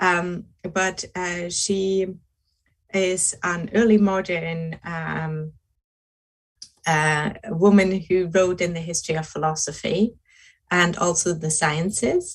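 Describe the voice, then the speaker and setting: A woman with a German accent at a very slow pace, with a fairly low pitch, fairly even intonation, a somewhat breathy voice and long, frequent pauses. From Germany. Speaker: philosophy researcher. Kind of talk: academic lecture. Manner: slow, hesitant with many fillers.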